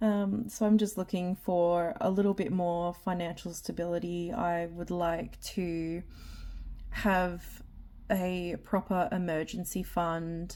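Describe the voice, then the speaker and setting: In a dark, mellow tone, a woman speaks at medium pitch and a very slow pace with monotone, flat intonation. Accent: Australian. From Australia. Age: 30s. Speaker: budgeting vlogger. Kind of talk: casual vlog talk. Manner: hesitant, many ums.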